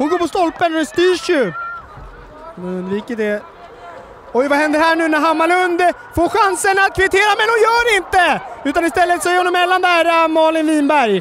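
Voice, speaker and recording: This man's voice is extremely high-pitched, with an animated tone and lively intonation. Noticeable background noise can be heard. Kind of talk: live sports commentary. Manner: fast, excitable, rising with each chance; animated, breathless.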